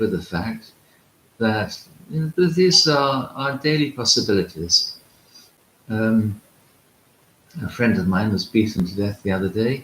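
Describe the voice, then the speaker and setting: At a fairly slow pace, a man talks with very wide pitch swings and long, frequent pauses. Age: 60s. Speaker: Orthodox priest and monk. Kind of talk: spiritual talk. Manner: hesitant with frequent fillers.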